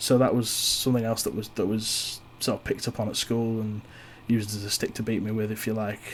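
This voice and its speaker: In a Yorkshire accent, a man at a medium pitch speaks very fast in a flat monotone. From East Yorkshire, England. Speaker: podcast host. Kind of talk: personal monologue. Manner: halting; shy.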